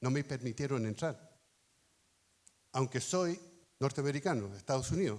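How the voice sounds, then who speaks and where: A man's medium-pitched voice at a moderate pace, lively in intonation, with long, frequent pauses. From born in Chile (Temuco), raised there to 11, then United States. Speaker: pastor. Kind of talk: sermon. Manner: halting, with fillers.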